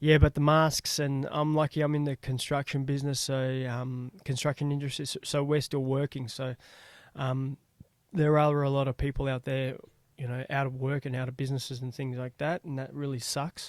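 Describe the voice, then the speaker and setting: In an Australian accent, a man talks at a moderate pace in a medium pitch with monotone, flat intonation, the sound dry and close with no echo on a very clean recording with a silent background. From Australia (Melbourne). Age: 40s. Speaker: podcast host. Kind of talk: casual solo podcast monologue. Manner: hesitant, many fillers.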